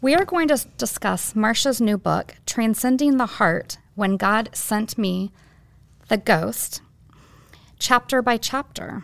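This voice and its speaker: Speaking at a very slow pace, a woman uses a fairly high pitch and lively intonation. The recording is very clean, with a silent background. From Bellbrook, Ohio. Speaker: podcast co-host. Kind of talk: podcast conversation, interview.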